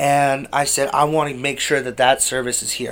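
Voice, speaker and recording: A man delivers fairly even intonation at a moderate pace while noticeable background noise sounds around him. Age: 20s. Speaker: youth charity worker and former client. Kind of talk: casual chat.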